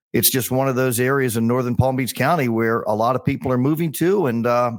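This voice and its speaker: This is an ordinary speaking voice from a man with a medium pitch. He talks at a fairly quick pace in a very clean recording with a silent background. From US Mid-Atlantic (Bethesda, Maryland). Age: 60s. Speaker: golf communications executive and podcaster. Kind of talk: casual interview chat.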